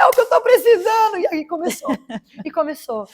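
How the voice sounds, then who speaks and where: Heard in a dry, close sound with no echo, a woman is speaking. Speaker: evangelical preacher and former radio host. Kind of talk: testimony.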